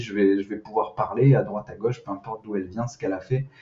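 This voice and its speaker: There is a somewhat breathy edge to this man's voice. The pitch variation is ordinary. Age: 30s. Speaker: sales manager in recruitment tech. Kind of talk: podcast interview. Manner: hesitant, many fillers and repetitions.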